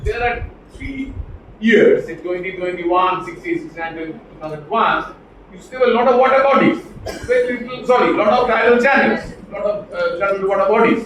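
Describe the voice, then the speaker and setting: With a Bengali accent and lively intonation, the speaker talks at a fairly quick pace, loudness swinging widely, amid noticeable background noise and audible room echo. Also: man, extremely high pitch for a man. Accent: Bengali-accented Indian English. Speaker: professor. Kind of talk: lecture.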